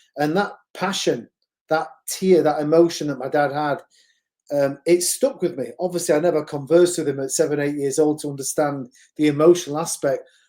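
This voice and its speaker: A fairly quick pace in a Mancunian accent. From northern England, Manchester. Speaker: boxing gym executive, IT professional. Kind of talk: interview, casual chat.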